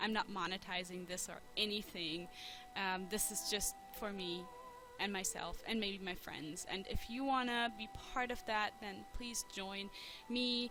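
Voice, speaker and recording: Over music in the background, a woman with a German accent speaks at a fairly slow pace, her medium pitch held to fairly even intonation. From Germany. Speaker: let's play gamer. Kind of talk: casual gaming commentary. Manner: relaxed, chill; hesitant, many fillers.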